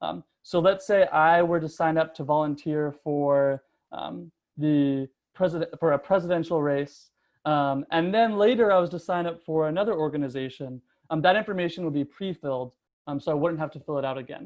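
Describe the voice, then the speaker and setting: A man talks in a fairly high pitch, with ordinary pitch variation. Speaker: product manager presenting a webinar. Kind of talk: webinar presentation. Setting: online webinar. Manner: fast; many filler words (um, uh).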